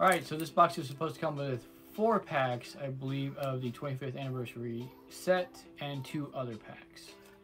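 Over faint background music, a man talks at a moderate pace with big swings in loudness. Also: ordinary pitch variation. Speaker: card unboxing channel host. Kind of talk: casual unboxing commentary. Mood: self-deprecating, relaxed. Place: home room.

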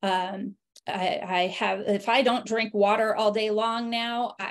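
Against a quiet background, a woman with a fairly high pitch speaks at a fairly slow pace with fairly even intonation. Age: 40s. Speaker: health coach and network marketing affiliate. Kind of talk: online webinar presentation. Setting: video call. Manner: hesitant with fillers. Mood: warm, personal testimony. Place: home room. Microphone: video call.

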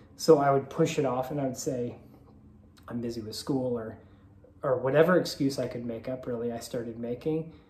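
Audible room echo surrounds the voice. Light background noise sits underneath. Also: man. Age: 30s. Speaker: vlogger. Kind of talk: personal confessional vlog. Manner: halting, many filler ums. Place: home room. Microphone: phone near.

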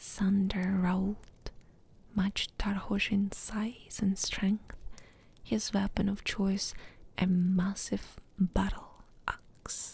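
Soft-spoken and dramatic in tone, the voice moves at a very slow pace. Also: dry sound with no echo. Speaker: ASMR gaming YouTuber. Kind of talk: whispered audiobook-style story reading, soothing ASMR bedtime narration. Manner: soft, hushed, slow and even, lulling; unhurried, gently dramatic, pausing between sentences. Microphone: studio mic.

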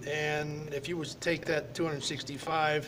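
A man speaks over light background noise. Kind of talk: interview answer. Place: hall. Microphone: webcam.

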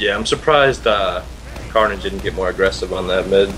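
A man rattles along at a very fast pace while noticeable background noise fills the recording. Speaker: co-caster. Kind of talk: live commentary.

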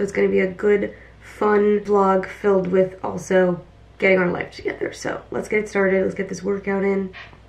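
Flat, monotone delivery at a moderate pace. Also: woman. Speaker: lifestyle vlogger. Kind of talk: casual vlog chat. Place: home room. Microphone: camera far.

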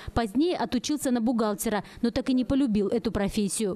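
A woman speaks with a fairly high pitch and a dark, mellow tone. Her pitch moves in an ordinary way. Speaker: TV news reporter. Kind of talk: TV news report voice-over.

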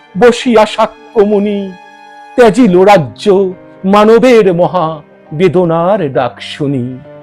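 A man is speaking. Music plays in the background. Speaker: poetry reciter. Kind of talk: poetry reading.

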